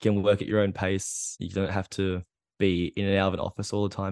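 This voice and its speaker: Against a quiet background, a man with an Australian accent speaks very fast in a very deep, low, monotone, flat voice, the sound dry and close with no echo. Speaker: PhD student. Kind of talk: casual chat. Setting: video call. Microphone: good microphone.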